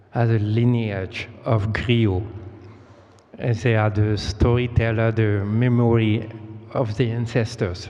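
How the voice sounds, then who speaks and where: Over music in the background, a man of medium pitch with a non-native accent speaks at a very slow pace in a monotone, flat intonation. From Côte d'Ivoire. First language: French. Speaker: storyteller. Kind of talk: storytelling performance. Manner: halting.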